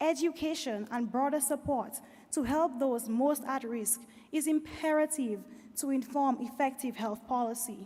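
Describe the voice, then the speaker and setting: Her voice is high-pitched, with a dark, mellow tone and ordinary pitch variation. The woman speaks at a moderate pace. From Dominica. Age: 20s. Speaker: health advocate. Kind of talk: conference keynote speech.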